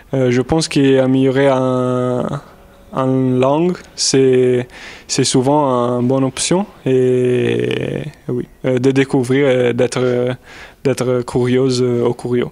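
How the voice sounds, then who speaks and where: A man with an Italian accent speaks very slowly at a medium pitch, in a monotone, flat intonation with very even loudness. Noticeable background noise runs underneath. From Italy. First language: Italian (speaking French). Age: 20s. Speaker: volunteer at a university. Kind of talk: interview answers. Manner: halting, many hesitations.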